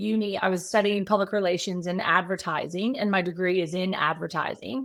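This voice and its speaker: In a very clean recording with a silent background, a woman with an American accent talks at a fairly quick pace. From Texas. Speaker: social media strategist. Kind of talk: podcast interview.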